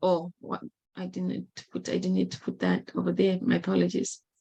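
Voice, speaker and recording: This is a woman speaking at a medium pitch. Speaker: presenter on microloans. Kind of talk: presentation. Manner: halting.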